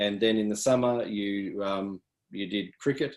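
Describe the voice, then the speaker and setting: With an Australian accent, a man talks at a fairly low pitch in a monotone, flat delivery. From country New South Wales, Australia (Yass). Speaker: athletics coach. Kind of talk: interview.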